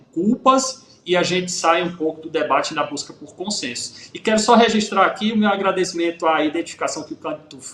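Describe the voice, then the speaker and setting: Noticeable background noise surrounds a man speaking with a northeastern Brazilian accent. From Pernambuco, Brazil. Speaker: police chief. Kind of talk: radio interview.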